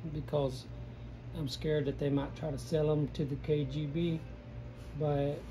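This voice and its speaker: A man with a Southern US accent, with audible room echo. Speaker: painter. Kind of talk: painting tutorial. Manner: casual, rambling with many false starts.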